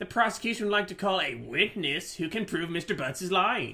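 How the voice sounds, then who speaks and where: Putting on a whiny character voice, a man speaks high-pitched at a fairly quick pace with lively intonation. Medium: game stream. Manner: smug, pressing.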